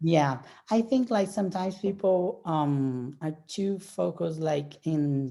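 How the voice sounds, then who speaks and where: Speaking at a very slow pace, a woman has a Portuguese accent. Her fairly low voice carries a dark, mellow tone. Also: lively intonation. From Brazil. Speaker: professional bodybuilder. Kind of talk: casual interview chat.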